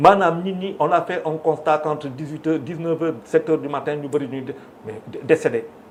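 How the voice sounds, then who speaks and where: Noticeable background noise surrounds a fairly high-pitched man who talks at a fairly quick pace. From Senegal. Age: 60s. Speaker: media figure and business owner. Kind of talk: televised debate. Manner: code-switching French and Wolof.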